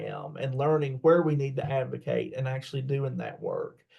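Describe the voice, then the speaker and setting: Speaking at a moderate pace with a West Virginia accent, a man uses a fairly high, somewhat breathy voice with a dark, mellow tone and fairly even intonation. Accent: southern West Virginia. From southern West Virginia, McDowell County. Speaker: college teacher and parent advocate. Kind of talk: interview. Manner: halting, many fillers.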